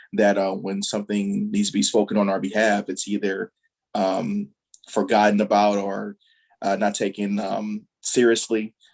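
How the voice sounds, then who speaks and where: With music in the background, a man speaks in a fairly low, monotone, flat voice at a moderate pace. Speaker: visual artist. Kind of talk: panel discussion. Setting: video call. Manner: soft-spoken.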